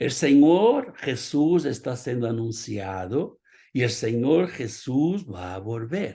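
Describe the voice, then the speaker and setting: With a Portuguese accent, a man speaks at a very slow pace and medium pitch. His intonation is lively, over a quiet background. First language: Portuguese (speaking Spanish). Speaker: pastor. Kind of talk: sermon.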